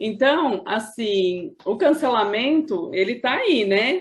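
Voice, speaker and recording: A woman talks in an unremarkable speaking voice. Her pitch sits fairly high. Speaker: video host / interviewer. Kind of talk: interview conversation.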